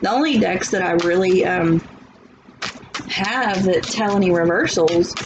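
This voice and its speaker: A woman's medium-pitched voice with a Southern US accent, in audible room echo and noticeable background noise. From US South. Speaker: tarot reader. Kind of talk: tarot reading. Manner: animated.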